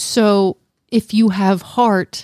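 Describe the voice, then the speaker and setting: A woman's medium-pitched voice with a dark, mellow tone, fairly even intonation, and a dry, close sound free of echo. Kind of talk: casual chat. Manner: stumbling over words.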